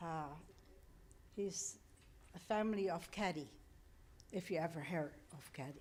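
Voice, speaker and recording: A woman's fairly low voice with lively intonation, long and frequent pauses, and audible room echo. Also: moderate pace. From Netherlands. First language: Dutch. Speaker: artist, member of the public. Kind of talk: public comment at council meeting.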